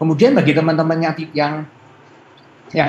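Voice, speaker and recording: The speaker here is a man. There is light background noise in the recording. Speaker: university lecturer presenter; presenter. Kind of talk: presentation to students. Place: home room. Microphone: video call.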